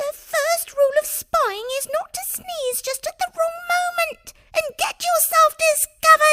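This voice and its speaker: A squeaky put-on character voice at a moderate pace. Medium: read story.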